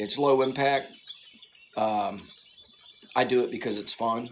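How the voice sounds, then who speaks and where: Fairly even intonation in a Southern US accent, with noticeable background noise. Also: man. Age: 50s. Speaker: tai chi fitness creator. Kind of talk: casual live Q&A monologue. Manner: halting, repeats words.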